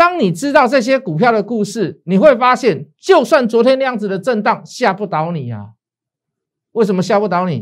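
Against a quiet background, a man with a Taiwanese accent speaks in an animated tone, high in pitch, with lively intonation. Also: moderate pace. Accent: Taiwanese Mandarin. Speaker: stock market analyst and show host. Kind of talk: financial analysis show with sales pitch. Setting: studio. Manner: animated, persuasive, colloquial.

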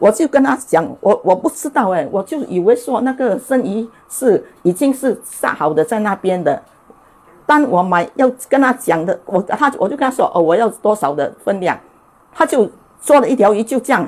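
A woman with a fairly high voice swings her pitch very widely. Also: moderate pace. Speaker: cooking show host. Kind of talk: cooking tutorial; testimony. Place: kitchen. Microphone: lapel.

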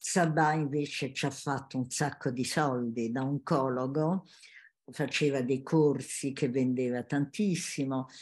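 A woman speaks with fairly even intonation and a very deep, low pitch. The background is quiet. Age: 80s+. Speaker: family constellation facilitator, former teacher. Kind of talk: interview; interview answer. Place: home room. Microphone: webcam.

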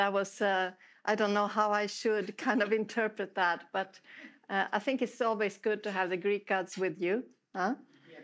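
A woman's fairly even intonation and moderate pace are heard with a quiet background. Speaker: guest. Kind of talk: lecture. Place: hall.

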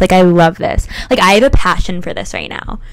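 Over faint background noise, a woman talks at a fairly quick pace.

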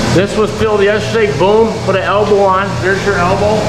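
There is loud noise behind the speaker. He is a man talking at a moderate pace. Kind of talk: casual vlog chat. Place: farm machine. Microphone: phone near.

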